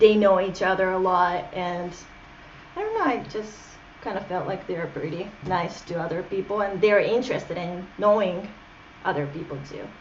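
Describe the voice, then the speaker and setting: With a Japanese accent, a woman of medium pitch talks at a moderate pace with fairly even intonation and big swings in loudness, amid noticeable background noise and audible room echo. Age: 20s. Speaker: interview guest. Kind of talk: casual interview.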